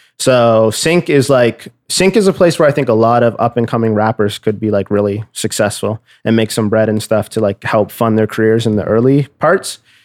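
This man has an ordinary speaking voice at a medium pitch, with ordinary pitch variation, a moderate pace and very even loudness. The recording is very clean with a silent background, and the sound is dry and close with no echo. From Nova Scotia, Canada. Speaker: music producer. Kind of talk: casual interview.

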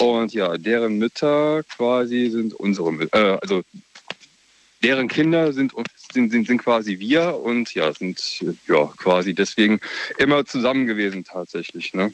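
Amid noticeable background noise, a man talks at a fairly slow pace with long, frequent pauses. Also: medium pitch for a man. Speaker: caller. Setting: phone call.

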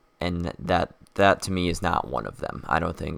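A man's very deep, low voice with a bright, sharp tone, vocal fry and ordinary pitch variation. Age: young. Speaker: podcaster. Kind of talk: casual solo talk.

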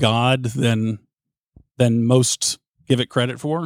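Medium-pitched man, very clean recording with a silent background, dry and close with no echo. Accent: strong Southern US. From US South. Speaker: sports radio host. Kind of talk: casual chat.

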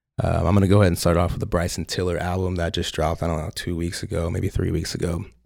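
A man's very deep, low voice at a very fast pace, with hardly any pauses. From US Midwest and Oklahoma; Nigerian family. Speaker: podcast host, orthodontist. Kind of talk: casual chat. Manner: animated.

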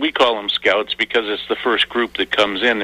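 A man with an ordinary speaking voice talks at a fairly quick pace and fairly low pitch. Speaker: herring warden. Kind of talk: interview.

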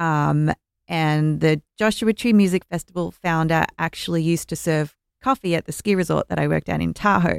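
A woman with an Australian accent at a moderate pace, in a very clean recording with a silent background and a dry, close sound with no echo. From Melbourne, Australia. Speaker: music festival organizer. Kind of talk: casual chat.

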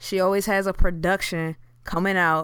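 On a very clean recording with a silent background, a woman speaks at a moderate pace with an American accent. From US Mid-Atlantic, Prince George's County, Maryland (DMV). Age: 20s. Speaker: podcast co-host. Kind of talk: casual chat. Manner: animated, laughing often.

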